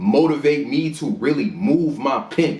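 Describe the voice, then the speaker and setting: Fairly high-pitched man with an American accent, ordinary pitch variation and audible room echo. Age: 20s. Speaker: battle rapper. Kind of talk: casual interview chat. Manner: animated.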